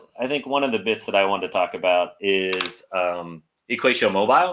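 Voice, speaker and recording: Lively intonation runs through this man's speech. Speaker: maths teacher presenting edtech. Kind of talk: webinar presentation. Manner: fast; animated.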